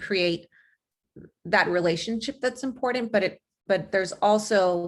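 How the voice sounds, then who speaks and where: A woman's voice with vocal fry and ordinary pitch variation at a moderate pace, on a very clean recording with a silent background. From Los Angeles, US. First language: not English. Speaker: college resource counselor. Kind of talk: panel presentation.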